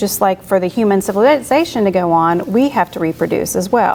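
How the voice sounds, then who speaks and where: At a fairly quick pace, a woman speaks with lively intonation at a medium pitch amid noticeable background noise. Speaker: beekeeper giving a talk. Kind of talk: lecture. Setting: club meeting with audience. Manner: soft-spoken.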